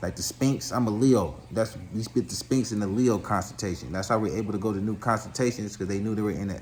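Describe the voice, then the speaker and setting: With an animated tone and audible room echo, a man with a fairly low pitch and vocal fry speaks at a very fast pace with ordinary pitch variation. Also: hardly any pauses. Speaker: spiritual commentator. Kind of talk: monologue lecture.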